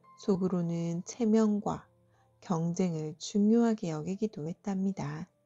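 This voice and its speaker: With music in the background, a woman speaks at a very slow pace in a soothing tone. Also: medium pitch for a woman, fairly even intonation. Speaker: storyteller. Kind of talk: bedtime folktale reading. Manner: soft, soothing.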